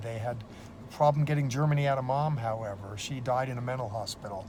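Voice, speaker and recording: In an American accent, a man at medium pitch speaks at a fairly quick pace, somewhat breathy, with fairly even intonation and audible room echo. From United States. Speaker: seminary professor. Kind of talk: testimony. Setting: in a police car. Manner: casual, with many fillers.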